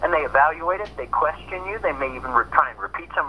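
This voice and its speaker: Over noticeable background noise, a man with an American accent talks at a high pitch with lively intonation. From US Pennsylvania. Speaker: photographer and researcher. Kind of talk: interview.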